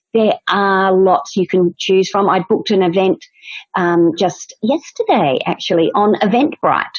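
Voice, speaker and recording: A woman with an Australian accent speaks at medium pitch. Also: ordinary pitch variation, fairly slow pace, very even loudness. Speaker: dance studio owner, podcast co-host. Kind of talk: casual chat.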